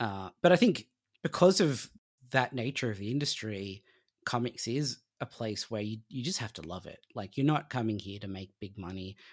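With an Australian accent, a man speaks at medium pitch and a moderate pace, his lively intonation paired with big swings in loudness on a very clean recording with a silent background. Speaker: comic book writer. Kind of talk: interview.

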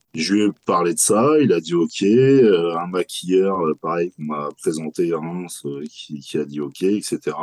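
The intonation is lively and the pace very slow. The sound is dry and close, with no echo. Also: man, very deep, low pitch for a man. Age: 40s. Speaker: horror festival founder and clothing brand creator. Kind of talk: interview.

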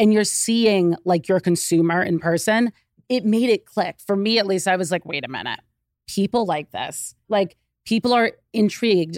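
A woman speaks at a medium pitch and a moderate pace in an ordinary speaking voice. The sound is dry and close, with no echo. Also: ordinary pitch variation, very clean recording, silent background. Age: 30s. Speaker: business co-owner. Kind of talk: casual chat. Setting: studio.

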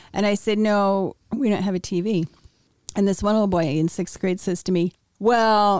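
In a normal speaking voice with an American accent, a woman talks at medium pitch and a moderate pace, her intonation fairly even and her loudness very even, in a dry, close sound with no echo. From US Midwest, Wheaton, Illinois. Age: 60s. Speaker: interviewee sharing life story. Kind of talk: testimony.

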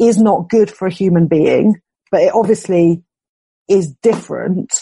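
A woman speaks fairly slowly in a dark, mellow tone. Her voice is somewhat breathy. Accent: British. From UK. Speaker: philosopher and writer. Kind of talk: conversational interview.

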